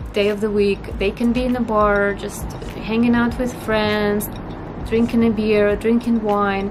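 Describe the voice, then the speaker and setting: In a Russian accent, a woman talks at a fairly slow pace with a fairly high pitch and monotone, flat intonation, amid audible room echo and music in the background. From northern Russia. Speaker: vlogger. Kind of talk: casual vlog talk to camera.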